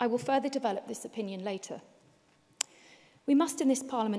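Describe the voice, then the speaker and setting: A woman speaks with an English accent. Her pitch variation is ordinary. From Wales. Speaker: politician. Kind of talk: parliamentary speech. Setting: parliament chamber. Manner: formal.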